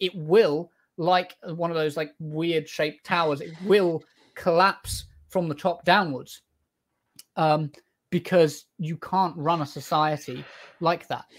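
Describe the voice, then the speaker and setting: A man with a British accent speaks at a very slow pace. His pitch is high and his intonation fairly even. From Britain. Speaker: political TikTok streamer. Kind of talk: debate. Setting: video call. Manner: halting.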